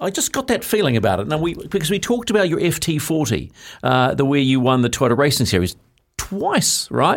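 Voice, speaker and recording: A man with a New Zealand accent and fairly high pitch speaks at a fairly quick pace with vocal fry, very wide pitch swings and very even loudness, on a very clean recording with a silent background. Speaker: motorsport radio host. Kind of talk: casual studio interview. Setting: studio. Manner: animated, chatty.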